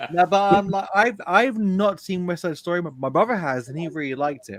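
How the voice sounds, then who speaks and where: Speaking with a London accent, a man has a high pitch and lively intonation. His pace is fairly quick, with big swings in loudness. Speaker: film reviewer. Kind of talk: casual chat.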